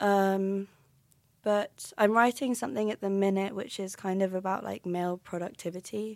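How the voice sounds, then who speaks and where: A woman speaks at a moderate pace with a southern English accent and fairly even intonation. The recording is very clean, with a silent background and a dry, close sound with no echo. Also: medium pitch for a woman. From London. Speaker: university student and playwright. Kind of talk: casual interview.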